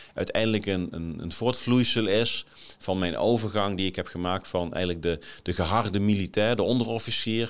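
On a very clean recording with a silent background, a man talks at a moderate pace, his fairly low-pitched voice keeping a fairly even intonation. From Nijmegen area, eastern Netherlands. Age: 40s. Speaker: leadership podcaster, former military officer. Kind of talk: solo podcast monologue. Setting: office, on camera. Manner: hesitant, many fillers.

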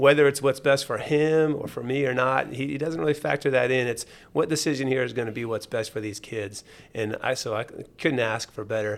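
A man with an American accent and a normal speaking voice, fairly quick pace and ordinary pitch variation. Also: medium pitch for a man, very clean recording, silent background. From Jacksonville, Florida. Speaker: high school athletic director. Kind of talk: casual interview. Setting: radio studio.

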